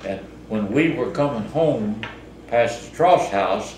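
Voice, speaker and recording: A man with an American accent at a fairly slow pace, with ordinary pitch variation and noticeable background noise. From Southeast Missouri. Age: 80s+. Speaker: farmer. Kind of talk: interview answer. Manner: casual, hesitant.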